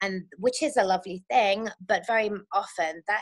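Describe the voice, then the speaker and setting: A woman speaks at medium pitch with an English accent and ordinary pitch variation. The sound is dry and close, with no echo. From England. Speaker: birth doula and circle facilitator. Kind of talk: interview conversation.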